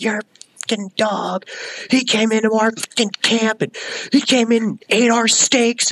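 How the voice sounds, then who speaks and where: A put-on character voice, shouting and furious, fairly high in pitch at a moderate pace. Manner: screaming, furious.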